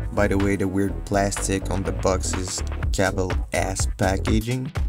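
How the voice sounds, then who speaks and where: The voice sounds dry with no echo, with clear music playing in the background. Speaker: airgun hobbyist. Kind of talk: casual product unboxing review. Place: home room. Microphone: phone near.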